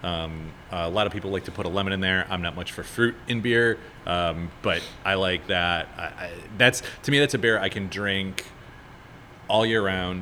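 At a moderate pace, a man with an American accent talks in a very deep, low pitch with a bright, sharp tone and ordinary pitch variation. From Chicago. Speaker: brewer and brewery owner. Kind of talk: casual chat. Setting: brewery taproom.

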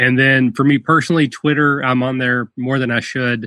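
Bright and sharp in tone, a man with a Kentucky accent talks at a fairly quick pace at medium pitch with ordinary pitch variation, the sound dry and close with no echo. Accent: Southern US (Kentucky). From rural Kentucky. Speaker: tabletop gaming podcaster. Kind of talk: casual interview. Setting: video call.

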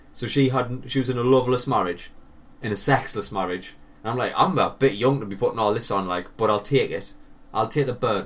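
Here a man talks at a fairly quick pace with an ordinary speaking voice. His medium pitch shows ordinary variation. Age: 30s. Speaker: podcast co-host. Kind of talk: casual chat.

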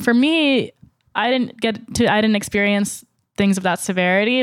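In an ordinary speaking voice with an American accent, a woman talks at a moderate pace with ordinary pitch variation, on a very clean recording with a silent background. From US South. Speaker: pop-culture writer and comics fan. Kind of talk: casual panel discussion. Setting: in-person recording in New York City.

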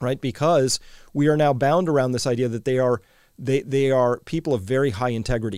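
A man talks at a fairly quick pace in a plain, everyday voice, medium in pitch with ordinary pitch variation. The recording is very clean and dry, with a silent background and a close sound with no echo. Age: 50s. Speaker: podcast host. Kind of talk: interview.

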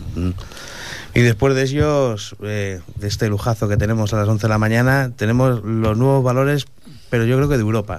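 A man speaks with a fairly low pitch and fairly even intonation. Noticeable background noise and audible room echo come through. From Madrid, Spain (Usera). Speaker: venue owner and event organizer. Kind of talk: radio interview.

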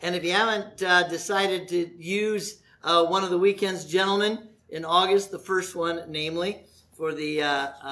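Ordinary pitch variation accompanies plain reading aloud.

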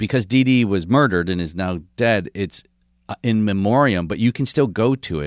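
A normal speaking voice with lively intonation, on a very clean recording with a silent background. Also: man, fairly low pitch for a man, moderate pace. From Michigan, US Midwest. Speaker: comedian. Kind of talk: casual chat.

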